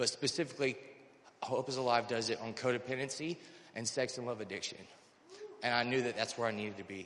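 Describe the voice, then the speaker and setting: An American-accented man talks at a very fast pace with long, frequent pauses, at medium pitch and with fairly even intonation. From North Carolina. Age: 30s. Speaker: recovery program resident. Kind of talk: testimony. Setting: church service. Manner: halting.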